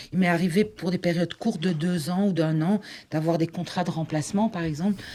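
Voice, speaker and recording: A woman speaks at a fairly quick pace in a fairly low pitch, her tone dark and mellow and her intonation fairly even. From Flanders, Belgium (Limburg). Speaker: conference interpreter, election candidate. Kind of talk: interview.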